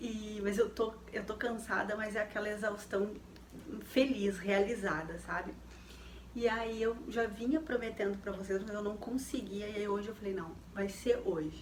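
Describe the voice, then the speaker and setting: Amid noticeable background noise and audible room echo, a woman speaks at a fairly slow pace. Her pitch is fairly high and her intonation fairly even. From Rio Grande do Sul, southern Brazil. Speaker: lifestyle YouTuber. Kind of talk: casual personal talk to viewers. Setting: home, dim lamp light. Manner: hesitant, many fillers.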